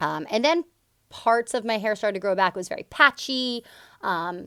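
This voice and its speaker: A woman with a fairly high pitch talks loudly at a moderate pace, her intonation lively and her tone bright and sharp. The sound is dry and close with no echo, on a very clean recording with a silent background. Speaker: yoga teacher and spiritual healer vlogger. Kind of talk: personal storytelling vlog. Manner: loud and upfront.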